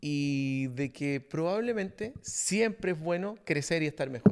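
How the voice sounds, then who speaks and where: In a Chilean accent, a man speaks at a high pitch with very wide pitch swings. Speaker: podcast host, leadership coach. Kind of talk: casual podcast conversation.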